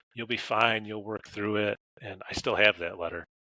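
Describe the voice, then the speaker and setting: Talking at a very fast pace with an American accent, a man has a very deep, low pitch and a bright, sharp tone in a dry, close sound with no echo. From western New York. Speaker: science teacher and coach. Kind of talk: interview conversation. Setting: podcast recording.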